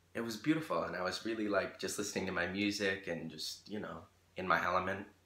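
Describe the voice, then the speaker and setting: A man with an American accent talks at a fairly quick pace in a very deep, low pitch, his tone bright and sharp against audible room echo. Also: long, frequent pauses. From Rochester, New York, US; New York. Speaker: YouTuber and singer; YouTuber. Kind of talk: casual vlog monologue. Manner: animated, filler-heavy. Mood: animated storytelling. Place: home room. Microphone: phone near.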